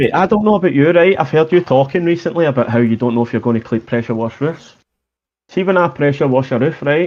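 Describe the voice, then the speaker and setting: Speaking very fast, a man talks in a Scottish accent. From Scotland. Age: 30s. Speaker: pressure washing business owner. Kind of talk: casual chat.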